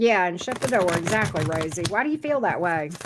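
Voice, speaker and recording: A woman with a slight Southern US accent talks at a fairly low pitch, her intonation lively. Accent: slight Southern drawl. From US South. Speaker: tarot reader. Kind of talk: live tarot reading.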